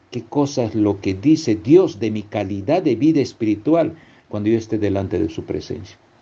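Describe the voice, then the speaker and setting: Somewhat breathy, a man speaks with a dark, mellow tone. His intonation is lively and his pace moderate. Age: 60s. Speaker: preacher. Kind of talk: sermon. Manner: halting.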